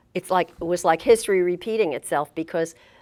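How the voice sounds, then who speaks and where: In a New Jersey accent, a woman speaks at a fairly quick pace with fairly even intonation in a very clean recording over a silent background. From Elizabeth, New Jersey. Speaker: retired state supreme court justice. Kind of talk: oral history interview answer.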